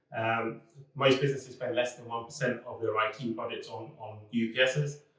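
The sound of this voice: A man speaks at a medium pitch with little movement in it. His tone is fairly bright, and the room echo is audible. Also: moderate pace.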